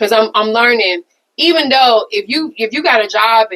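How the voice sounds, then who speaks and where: A woman's fairly high voice at a moderate pace. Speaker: podcast co-host. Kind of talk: casual chat.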